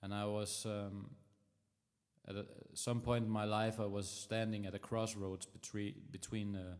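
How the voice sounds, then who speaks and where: A man speaks with a Danish accent at a moderate pace. His pitch is fairly low. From Denmark. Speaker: musician livestreamer. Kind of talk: casual chat. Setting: livestream. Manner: halting.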